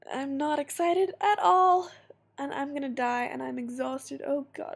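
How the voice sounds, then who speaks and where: This woman has a high pitch. She talks at a fairly slow pace. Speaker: vlogger. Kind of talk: casual vlog. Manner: rambling, halting.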